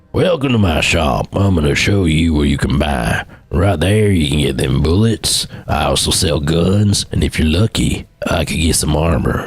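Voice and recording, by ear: A man speaks in a gruff, very deep, low put-on character voice at a moderate pace.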